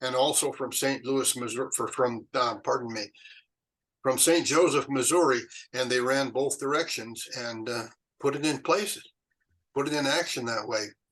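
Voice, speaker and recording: A man speaks in a Western US accent with ordinary pitch variation. He leaves long, frequent pauses. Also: medium pitch for a man, moderate pace. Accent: American Western. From Utah, USA. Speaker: retired chemist and Pony Express historian. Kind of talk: interview answer. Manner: hesitant, conversational.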